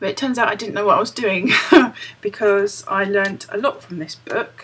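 At a moderate pace, a woman speaks at a medium pitch with a British accent. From United Kingdom. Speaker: crochet vlogger. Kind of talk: casual talk to camera. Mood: cheerful, chatty. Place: home room. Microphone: webcam.

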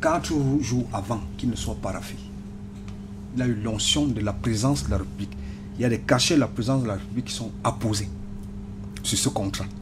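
Fairly quick delivery with very wide pitch swings, long and frequent pauses, and noticeable background noise. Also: man, fairly low pitch for a man. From Cameroon. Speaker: political party communication member. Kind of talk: radio panel debate. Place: studio. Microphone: studio mic.

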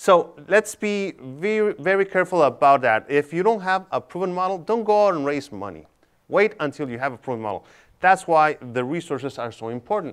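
A man's high voice with a Spanish accent, fairly quick, with very wide pitch swings over a quiet background. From Tijuana, Mexico; Mexico. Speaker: tech incubator director; panelist. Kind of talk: panel discussion. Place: hall. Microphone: lapel.

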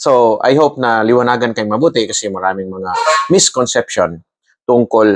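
A man with a normal speaking voice talks at medium pitch and a moderate pace with lively intonation, the very clean recording dry and close with no echo and a silent background. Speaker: army colonel explaining military matters. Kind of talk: explainer monologue. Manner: formal.

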